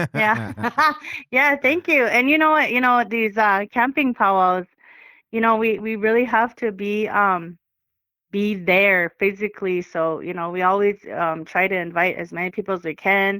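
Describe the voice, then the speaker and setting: A woman speaks with a bright, sharp tone and ordinary pitch variation. The recording is very clean and the background is silent. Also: medium pitch for a woman, moderate pace. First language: Crow. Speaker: powwow dancer and guest. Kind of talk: casual interview. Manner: halting, many fillers.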